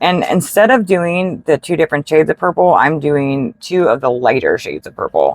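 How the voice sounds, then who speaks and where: She has a very deep, low pitch and vocal fry. Her pitch variation is ordinary for a woman. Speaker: card making crafter. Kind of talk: tutorial. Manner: casual, with fillers.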